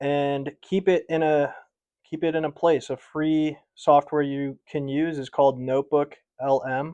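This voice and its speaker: The voice has a dark, mellow tone and a monotone, flat delivery. The sound is dry and close with no echo, and the pace is fairly slow. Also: man. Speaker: sales and marketing professional. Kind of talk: casual explainer to camera.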